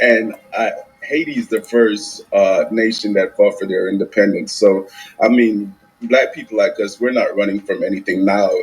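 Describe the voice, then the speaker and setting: Music plays in the background. A man talks with a Caribbean accent. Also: moderate pace. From Jamaica. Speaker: caller. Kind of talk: heated debate.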